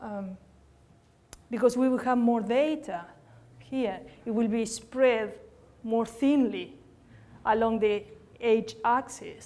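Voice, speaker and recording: Audible room echo carries a woman's fairly high voice, dark and mellow in tone, with fairly even intonation. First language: Spanish. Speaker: statistician/epidemiology researcher. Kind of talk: academic lecture. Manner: hesitant, many fillers.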